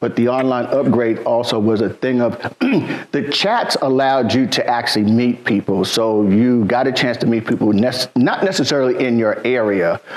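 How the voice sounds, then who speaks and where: Noticeable background noise under a man's medium-pitched voice, very even in loudness, at a moderate pace. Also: ordinary pitch variation. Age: 60s. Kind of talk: casual chat.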